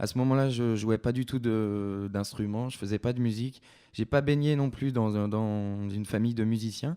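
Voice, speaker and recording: A man's dark, mellow tone at a moderate pace, on a very clean recording with a silent background. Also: medium pitch for a man, fairly even intonation. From France, Creuse. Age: 20s. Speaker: singer-songwriter. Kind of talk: interview. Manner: hesitant.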